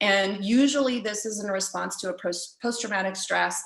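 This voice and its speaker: A woman with a normal speaking voice talks at a moderate pace, her pitch varying in an ordinary way. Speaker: riding coach. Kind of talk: lecture. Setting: video call.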